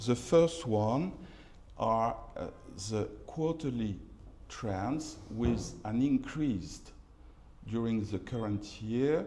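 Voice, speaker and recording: Very slowly and with long, frequent pauses, a man of medium pitch speaks in a French accent with a dark, mellow tone and lively intonation, in audible room echo. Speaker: real estate market analyst. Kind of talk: conference presentation. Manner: halting, many fillers and repetitions.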